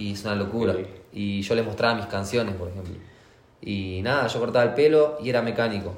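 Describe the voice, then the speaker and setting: With a Rioplatense accent, a man speaks at a fairly quick pace and a fairly low pitch with ordinary pitch variation, over noticeable background noise and audible room echo. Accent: Argentine Spanish (rioplatense). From Argentina. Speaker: trap and reggaeton artist. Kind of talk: interview.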